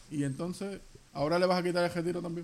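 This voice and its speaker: A man with a high pitch and fairly even intonation. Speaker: podcast co-host. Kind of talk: casual chat.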